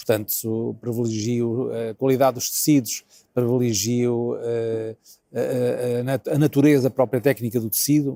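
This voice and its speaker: Here a man speaks slowly-ish, at a fairly slow pace, in a medium pitch with monotone, flat intonation. His tone is dark and mellow, and the sound is dry and close with no echo. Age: 60s. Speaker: designer and professor. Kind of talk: interview conversation. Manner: halting, many fillers.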